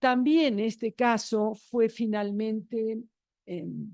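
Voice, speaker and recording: A woman's dark, mellow tone over a quiet background. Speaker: academic panelist on human rights law. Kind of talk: conference talk. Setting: academic conference panel, streamed. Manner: halting with many fillers and self-corrections.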